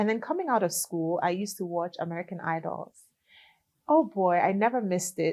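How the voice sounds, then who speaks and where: A woman speaks at a fairly quick pace with a Liberian accent. Her medium pitch shows ordinary pitch variation. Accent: Liberian accent, kept. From Liberia, raised in Ghana from age seven. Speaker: gospel singer. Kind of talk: interview.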